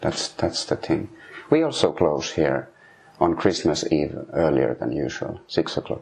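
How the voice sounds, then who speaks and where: A Finnish accent at a fairly slow pace, over noticeable background noise. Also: man. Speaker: sauna heater. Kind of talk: interview. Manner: halting.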